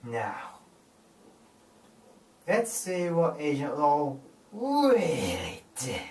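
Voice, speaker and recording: A man's put-on character voice, fairly high in pitch and very slow in pace. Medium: machinima. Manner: gloating.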